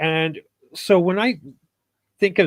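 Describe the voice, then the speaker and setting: Dry and close with no echo, the sound sits on a very clean recording with a silent background. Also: man. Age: 60s. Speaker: podcast guest discussing crypto. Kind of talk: casual panel discussion. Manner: halting with filler words.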